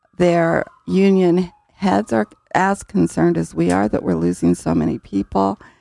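The sound is dry and close, with no echo. A woman talks at a fairly slow pace. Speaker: city mayor. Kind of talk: radio interview. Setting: studio.

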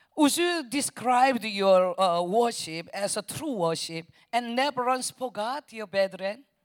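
Very slow, nearly pause-free speech with lively intonation, in a very clean recording over a silent background. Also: woman, fairly high pitch for a woman. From South Korea. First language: Korean (speaking Spanish). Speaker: missionary preacher. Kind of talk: sermon. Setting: church. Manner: halting.

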